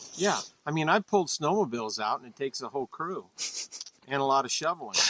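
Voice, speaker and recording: Talking at a very fast pace, a man with a fairly high pitch and an American accent uses lively intonation. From Montana. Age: 60s. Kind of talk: interview answer.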